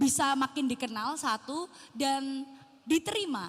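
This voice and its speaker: In a strong Javanese accent, the speaker uses ordinary pitch variation. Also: woman. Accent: thick medok Javanese. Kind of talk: casual, conversational.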